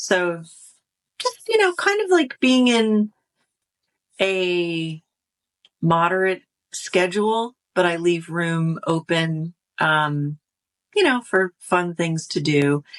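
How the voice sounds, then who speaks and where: The sound is dry and close with no echo as a woman with an American accent speaks very slowly at a fairly low pitch with ordinary pitch variation. She takes long, frequent pauses. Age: 60s. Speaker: YouTuber and life coach. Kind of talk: interview. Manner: hesitant, many fillers.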